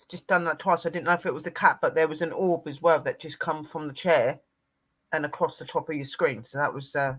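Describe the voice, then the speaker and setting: A man with a British accent speaks fairly quickly in a fairly high voice. His intonation stays fairly even while his loudness swings widely. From UK. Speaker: paranormal show co-host. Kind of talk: casual live-stream chat.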